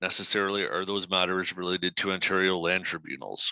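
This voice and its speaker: A man with a bright, sharp tone speaks at a moderate pace in a monotone, flat way, in a dry, close sound with no echo and a quiet background. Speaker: municipal director. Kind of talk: council meeting answer. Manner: halting.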